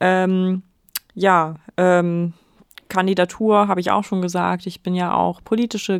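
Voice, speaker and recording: A woman's medium-pitched voice at a very slow pace, dry and close with no echo, on a very clean recording with a silent background. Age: 20s. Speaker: local politician and podcast co-host. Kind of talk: casual chat. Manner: hesitant, many fillers.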